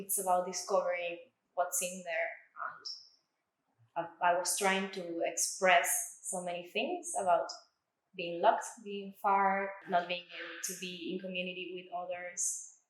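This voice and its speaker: A woman with an Argentine accent talks fairly slowly at medium pitch in monotone, flat intonation, leaving long, frequent pauses. Her loudness swings widely, and the room echo is audible. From Argentina. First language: Spanish. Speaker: artist. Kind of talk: artist talk about own exhibition.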